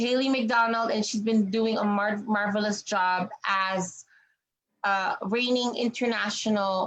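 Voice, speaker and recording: A woman with a fairly high, somewhat breathy voice speaks at a fairly slow pace with fairly even intonation. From Canada. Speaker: pageant interviewer. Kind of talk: interview.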